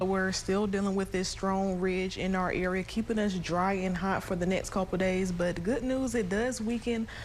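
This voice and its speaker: A woman speaks in a plain, everyday voice at a moderate pace with hardly any pauses. Her intonation is fairly even and her loudness very even. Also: medium pitch for a woman. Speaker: television meteorologist. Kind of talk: solo weather forecast segment.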